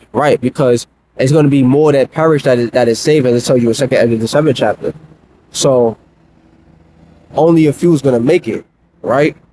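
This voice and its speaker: A man's fairly high-pitched, dark, mellow voice at a fairly quick pace with long, frequent pauses, fairly even intonation and very even loudness, in a dry, close sound with no echo. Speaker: religious teacher. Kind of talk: live religious lesson. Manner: fast.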